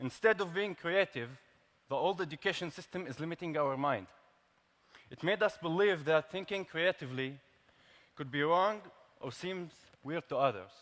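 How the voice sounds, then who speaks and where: Speaking at a moderate pace with an Arabic accent, a man with a high pitch and ordinary pitch variation leaves long, frequent pauses while his loudness swings widely. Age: 20s. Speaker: tech startup founder. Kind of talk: prepared speech. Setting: stage with large audience.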